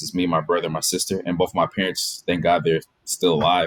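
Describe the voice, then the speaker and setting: A man with an American accent speaks at a very fast pace. His pitch is very deep and low, with fairly even intonation. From Washington DC. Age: 20s. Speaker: orthodontic resident. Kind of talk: interview. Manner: casual.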